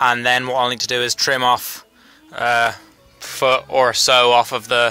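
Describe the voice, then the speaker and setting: Faint music plays in the background as a man speaks at a fairly slow pace, the sound dry with no echo. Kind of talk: casual tutorial vlog chat. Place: garage. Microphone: phone near.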